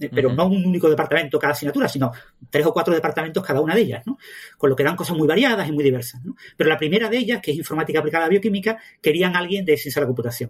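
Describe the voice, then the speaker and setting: A man's fairly high voice at a very fast pace, full of lively intonation. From southern Spain (Andalusia). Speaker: mathematician and science communicator. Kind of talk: interview.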